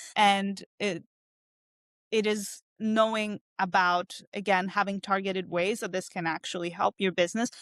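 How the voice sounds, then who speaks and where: On a very clean recording with a silent background and a dry, close sound with no echo, a woman speaks at a fairly slow pace in a monotone, flat intonation. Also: medium pitch for a woman. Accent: non-native. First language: not English. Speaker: cognitive scientist. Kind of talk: interview. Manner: hesitant, many fillers.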